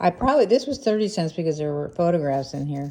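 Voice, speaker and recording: In an American accent, a woman speaks with a dark, mellow tone. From US Northeast, Pennsylvania near Philadelphia. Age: 60s. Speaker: family history vlogger and army veteran. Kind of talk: casual monologue to camera. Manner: halting, with fillers and restarts.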